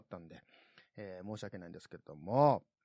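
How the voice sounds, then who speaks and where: Speaking in a Kansai accent, a man moves at a fairly quick pace. His pitch swings very widely. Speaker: podcast host. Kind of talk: casual solo podcast talk. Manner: animated, laughing.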